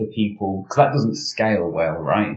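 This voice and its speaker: A man speaks with a British accent and a fairly low pitch. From Britain. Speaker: security professional. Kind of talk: interview. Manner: hesitant, many fillers.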